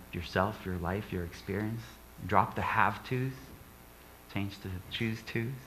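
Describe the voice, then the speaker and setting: At a moderate pace, a man speaks with audible room echo. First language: not English. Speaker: guest speaker, author. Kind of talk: inspirational talk in church. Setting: church service with audience.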